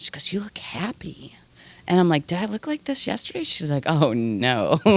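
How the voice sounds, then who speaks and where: This woman's fairly low voice has vocal fry and an animated tone, swinging very widely in pitch at a moderate pace. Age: 40s. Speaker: energy healer. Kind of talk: casual chat.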